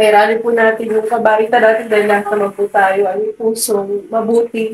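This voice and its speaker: Moderate pace from a woman with a fairly high pitch. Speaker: vlogger. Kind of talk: emotional thank-you speech. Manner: halting.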